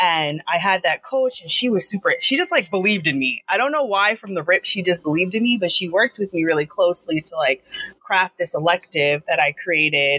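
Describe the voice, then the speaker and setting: In a normal speaking voice with an American accent, a woman at medium pitch talks at a fairly quick pace with hardly any pauses and lively intonation, the sound dry and close with no echo. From Long Island, New York. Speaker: teacher. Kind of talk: interview. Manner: fast, run-on.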